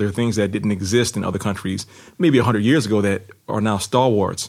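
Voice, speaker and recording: A very fast man with a New Orleans accent, fairly low-pitched and fairly even in intonation, on a very clean recording with a silent background. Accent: New Orleans American English. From US, New Orleans. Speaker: novelist and former lawyer. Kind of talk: interview. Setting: studio.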